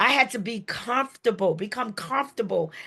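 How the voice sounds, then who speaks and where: A loud, high-pitched woman's voice, bright and sharp in tone, animated, with ordinary pitch variation at a moderate pace. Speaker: small business owner. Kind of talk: promotional talk.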